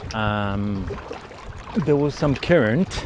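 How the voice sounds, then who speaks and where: Over noticeable background noise, a man with an Israeli accent speaks at a very slow pace. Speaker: software engineer and kayaker vlogger. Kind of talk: casual outdoor vlog narration. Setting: outdoors, kayaking on the ocean. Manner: hesitant, many fillers.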